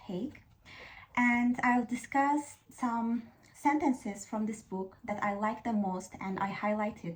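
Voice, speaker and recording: A woman with an Azerbaijani accent speaks at a very slow pace. Her fairly high pitch shows ordinary variation, and her voice is somewhat breathy. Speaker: YouTuber. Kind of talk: casual talk to camera, book discussion. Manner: hesitant, with fillers.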